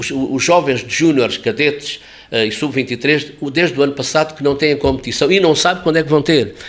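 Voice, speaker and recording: A man with an Alentejo accent talks at a fairly quick pace. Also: fairly high pitch for a man, ordinary pitch variation. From Alentejo, Portugal. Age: 70s. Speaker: sports journalist. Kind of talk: interview. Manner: animated.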